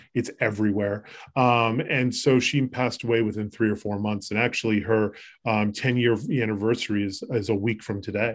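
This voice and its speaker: At a moderate pace, a man with an American accent speaks at a medium pitch in a monotone, flat way. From Massachusetts, Boston area. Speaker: podcast host, home care business owner. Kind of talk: casual chat.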